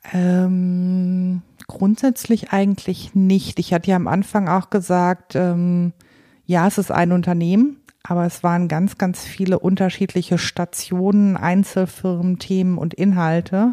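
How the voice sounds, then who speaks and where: On a very clean recording with a silent background, a woman speaks fairly slowly in a dark, mellow tone at medium pitch, with monotone, flat intonation and very even loudness. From Paderborn, Germany. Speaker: HR and recruiting executive. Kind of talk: interview.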